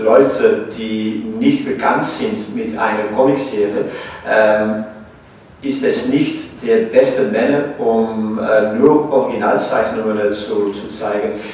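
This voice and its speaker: Through audible room echo and noticeable background noise, a man speaks at a very slow pace. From Belgium. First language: French or Dutch (speaking German). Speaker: museum director. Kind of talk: panel discussion. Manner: halting.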